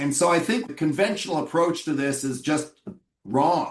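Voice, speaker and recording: An ordinary speaking voice from a man with a Canadian accent, fairly high in pitch, with ordinary pitch variation. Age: 60s. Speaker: physician. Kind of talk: interview.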